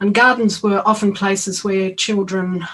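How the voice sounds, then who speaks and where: In an Australian accent, a woman talks at a moderate pace and medium pitch, her intonation monotone and flat. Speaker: education academic. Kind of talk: conference talk. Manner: halting, many fillers.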